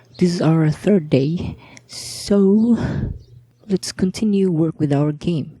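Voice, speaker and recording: A woman speaks quietly at a fairly low pitch and a very slow pace. Her pitch varies in an ordinary way. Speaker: hobbyist game developer. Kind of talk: casual devlog narration. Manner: quiet, slurred.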